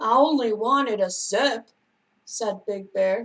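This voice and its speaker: Putting on a character voice, a woman speaks at a fairly high pitch. Her pace is fairly slow. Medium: read story.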